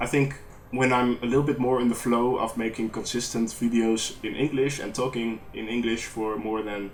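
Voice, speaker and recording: A man with a strong Dutch accent and a medium pitch speaks at a moderate pace with fairly even intonation, over noticeable background noise. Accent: thick Dutch. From Netherlands. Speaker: gaming YouTuber. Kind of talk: post-recorded gameplay commentary. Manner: hesitant, many fillers. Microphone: poor audio, lots of background noise.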